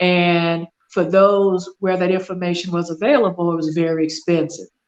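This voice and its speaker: Talking at a moderate pace, a woman with an American accent has an ordinary speaking voice, a fairly low pitch and fairly even intonation. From US South. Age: 60s. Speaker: business consultant, military retiree. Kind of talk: podcast interview.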